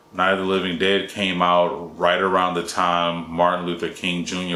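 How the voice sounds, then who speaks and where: A man with a very deep, low pitch talks at a moderate pace in monotone, flat intonation, with audible room echo. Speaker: independent filmmaker. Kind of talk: solo talking-head explainer video.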